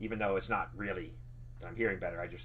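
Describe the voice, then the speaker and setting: A man's very deep, low voice with vocal fry, a very fast pace, and audible room echo. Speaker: game streamer. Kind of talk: live gameplay stream chat. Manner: casual, halting.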